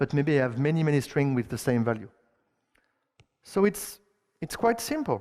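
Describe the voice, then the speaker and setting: A man in a strong French accent, fairly high in pitch, with lively intonation. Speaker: conference speaker, software engineer. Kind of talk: technical conference talk. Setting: stage with audience. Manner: halting, with many fillers and repetitions.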